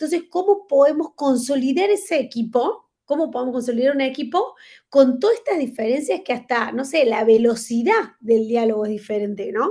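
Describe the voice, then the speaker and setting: A dark, mellow tone against a quiet background. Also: woman. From Argentina. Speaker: conference speaker, management consultant. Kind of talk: virtual lecture. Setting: video call. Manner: fast.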